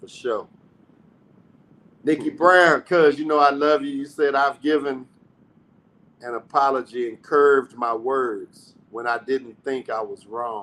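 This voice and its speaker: This man's voice sits fairly high, with a bright, sharp tone and fairly even intonation. He speaks fairly slowly, with long, frequent pauses and big swings in loudness. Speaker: podcast host. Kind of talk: casual chat.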